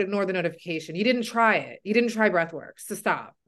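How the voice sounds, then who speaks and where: Against a quiet background, a woman has a plain, everyday voice, fairly high in pitch with ordinary pitch variation. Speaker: podcast host and weight loss coach. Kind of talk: interview, casual chat.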